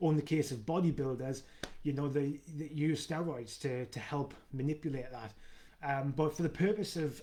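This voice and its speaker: A man with a Geordie accent speaks in a fairly high pitch, his dark, mellow tone carried on fairly even intonation. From northern England, Newcastle. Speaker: fitness coach. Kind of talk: live video Q&A. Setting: live stream. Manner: fast; halting with fillers and repeats.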